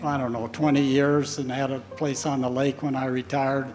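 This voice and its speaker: A man talks at a moderate pace with an American accent. Noticeable background noise runs underneath. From US Midwest, northern Iowa. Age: 80s+. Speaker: retired engineer, church member. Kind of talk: testimony. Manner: halting.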